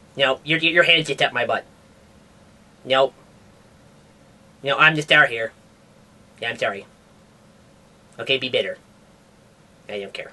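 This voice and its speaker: In a put-on character voice with a low-to-middle pitch, the speaker goes at a moderate pace, leaving long, frequent pauses. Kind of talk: comedic science news show. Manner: casual, rambling, hesitant.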